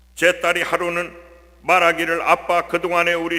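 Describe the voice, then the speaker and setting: Noticeable noise sits in the background. The speech moves at a fairly slow pace. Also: man. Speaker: church deacon. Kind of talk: testimony.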